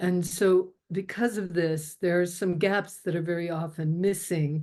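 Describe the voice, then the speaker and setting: Against a quiet background, a woman speaks at a fairly low pitch with fairly even intonation. It is a plain, everyday voice. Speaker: spiritual teacher. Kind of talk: teaching talk.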